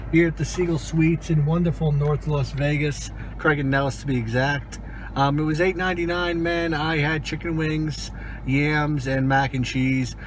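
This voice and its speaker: A man at a fairly slow pace in a monotone, flat intonation, with a dry sound with no echo and light background noise. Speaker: food reviewer. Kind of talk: casual vlog chat. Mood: disappointed, mildly critical. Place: car. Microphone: phone near.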